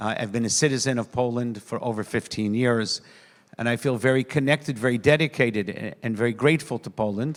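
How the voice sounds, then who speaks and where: A man with a plain, everyday voice talks at a medium pitch and a fairly quick pace. His intonation is fairly even, and the recording is very clean with a silent background. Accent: American. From US, New York. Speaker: rabbi, panel speaker. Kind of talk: conference speech. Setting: conference forum.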